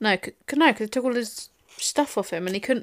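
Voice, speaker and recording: Ordinary pitch variation marks a woman speaking in an English accent at a fairly quick pace. The recording is very clean, with a silent background. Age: 20s. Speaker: podcast co-host. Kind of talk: casual chat.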